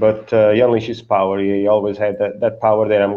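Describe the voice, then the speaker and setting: A man with a fairly low voice speaks in a flat, monotone way. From Portugal. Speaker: comic book creator. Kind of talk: casual interview. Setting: video call.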